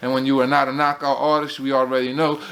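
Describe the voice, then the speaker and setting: A man with an American accent, fairly high in pitch and fairly quick, over noticeable background noise. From United States. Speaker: boxing commentator, channel host. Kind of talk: casual monologue. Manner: animated.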